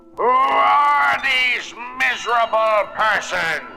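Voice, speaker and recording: A man puts on a character voice, high-pitched and very slow, with very wide pitch swings. Loud music plays in the background. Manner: scowling, hostile.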